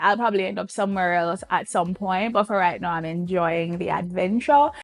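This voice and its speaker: Speaking at a fairly quick pace with hardly any pauses, a woman with a Jamaican accent has a medium pitch and an animated tone. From Jamaica, Ocho Rios. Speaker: beauty and fragrance vlogger. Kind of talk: casual Q&A vlog.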